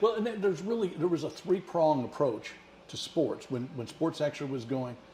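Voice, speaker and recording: Over noticeable background noise, a man with a Midwestern American accent talks at a fairly quick pace, his fairly high pitch carried by lively intonation. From Missouri, St. Louis area. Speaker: retired broadcaster. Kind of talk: casual chat.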